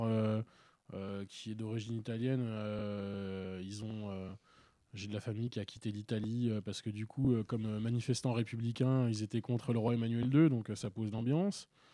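In a very clean recording with a silent background, a man with a dark, mellow tone speaks at a medium pitch and a fairly slow pace. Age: 30s. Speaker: political activist. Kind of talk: casual chat.

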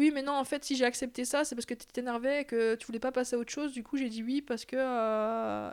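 At a moderate pace, a woman talks in a high voice with ordinary pitch variation in a very clean recording with a silent background. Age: 20s. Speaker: interviewee sharing her love life. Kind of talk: personal testimony interview.

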